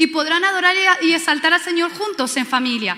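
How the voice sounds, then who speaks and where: Using a raised, projected voice, a woman speaks with a Spanish accent. Her pitch variation is ordinary. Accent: Spanish from Spain. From Spain. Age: 30s. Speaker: pastor. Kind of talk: sermon. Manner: animated.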